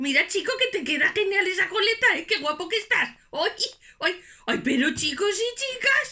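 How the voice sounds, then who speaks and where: A woman uses a put-on character voice at a moderate pace. Her pitch is extremely high. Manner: exclamatory, chatty.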